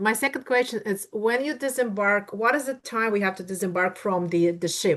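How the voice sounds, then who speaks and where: With a Russian accent and a fairly high pitch, a woman speaks at a moderate pace with hardly any pauses and ordinary pitch variation against a quiet background. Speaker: attendee asking questions. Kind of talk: Q&A questions.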